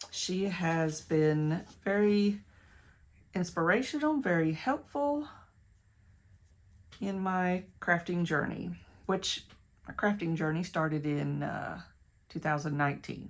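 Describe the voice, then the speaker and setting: Speaking very slowly with long, frequent pauses, a woman with a Tennessee accent uses fairly low pitch and lively intonation. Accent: West Tennessee. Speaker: crafter and online shop owner. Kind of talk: craft tutorial. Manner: casual, self-correcting.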